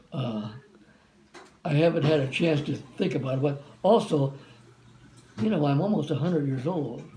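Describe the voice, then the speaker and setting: The speech has long, frequent pauses. Audible room echo surrounds it. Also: man, fairly high pitch for a man, ordinary pitch variation, moderate pace. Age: 90s. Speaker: war veteran. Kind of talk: interview. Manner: halting.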